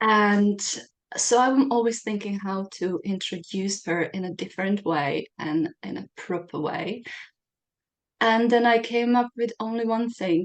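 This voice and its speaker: This woman speaks with a non-native accent and ordinary pitch variation. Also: medium pitch for a woman, fairly slow pace. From Czech Republic. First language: Czech. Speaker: podcast host. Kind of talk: interview.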